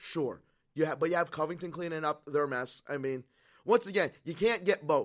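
The delivery moves at a fairly quick pace with ordinary pitch variation on a very clean recording with a silent background. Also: man. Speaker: radio sports show co-host. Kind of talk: casual radio sports talk banter. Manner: conversational, laid-back, chatty.

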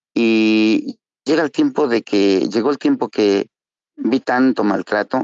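An ordinary speaking voice from a man, fairly low in pitch, at a fairly slow pace with ordinary pitch variation. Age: 50s. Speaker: recovering alcoholic. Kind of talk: testimony.

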